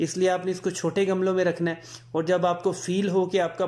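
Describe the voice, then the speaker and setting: Here a man talks at a moderate pace. His pitch is high. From Punjab. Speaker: gardening YouTuber. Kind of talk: tutorial.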